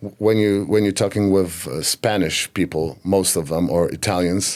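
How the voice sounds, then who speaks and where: In a Polish accent, a man speaks at a fairly slow pace with a very deep, low pitch and fairly even intonation. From Poland. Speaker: singer. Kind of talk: interview. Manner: halting.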